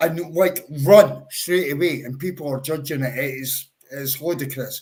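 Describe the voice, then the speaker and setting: Somewhat breathy and fairly slow, the speaker talks in a Scottish accent with ordinary pitch variation and big swings in loudness. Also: man, fairly high pitch for a man. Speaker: football fan panelist. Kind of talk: casual chat.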